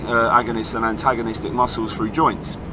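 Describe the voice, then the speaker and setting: A man talks very fast. Noticeable noise sits in the background. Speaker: fitness coach. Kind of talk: casual vlog chat answering a question. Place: car. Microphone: phone near.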